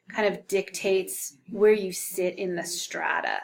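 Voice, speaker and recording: A woman with a plain, everyday voice speaks at medium pitch and a fairly slow pace. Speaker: sociology instructor. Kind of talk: recorded course lecture. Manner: casual, many filler ums.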